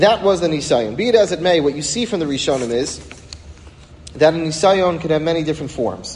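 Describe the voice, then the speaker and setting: Over noticeable background noise and audible room echo, a man talks at a fairly quick pace. His fairly high voice carries lively intonation. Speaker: rabbi teaching a weekly class. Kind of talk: religious lecture.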